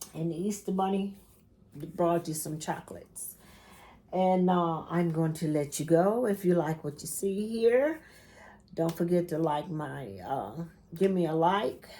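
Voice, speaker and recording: Speaking at a fairly slow pace with long, frequent pauses, a woman has a dark, mellow tone, fairly low pitch and ordinary pitch variation. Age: 60s. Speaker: quilting YouTuber. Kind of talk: casual vlog chat. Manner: chatty.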